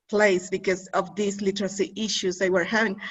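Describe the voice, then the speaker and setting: With music playing in the background, a woman speaks in a Spanish accent. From Mexico. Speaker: academic interviewer. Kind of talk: academic conversation. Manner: halting.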